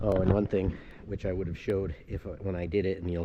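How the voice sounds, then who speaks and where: A man speaks with a very deep, low pitch and a dark, mellow tone in an American accent, his intonation flat and monotone. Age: 60s. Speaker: DIY motorcycle vlogger. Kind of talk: tutorial. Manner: casual, halting with fillers.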